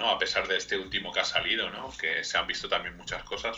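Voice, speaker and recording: A Madrid accent over noticeable background noise. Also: man. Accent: Castilian Spanish (Madrid). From Spain, Madrid. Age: 30s. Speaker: video game mod editor. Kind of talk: radio interview.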